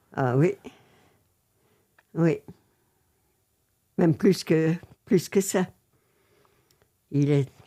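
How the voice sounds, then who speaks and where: Her voice has a dark, mellow tone with ordinary pitch variation. The woman speaks at a very slow pace, with long, frequent pauses. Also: fairly low pitch for a woman. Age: 80s+. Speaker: former art book publishing worker. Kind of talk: interview answer.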